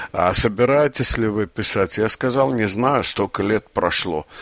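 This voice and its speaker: Over noticeable background noise, a man speaks at a fairly slow pace in a fairly low voice with ordinary pitch variation, the sound dry and close with no echo. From Azerbaijan (Baku). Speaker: poet. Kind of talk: interview. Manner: halting, with fillers.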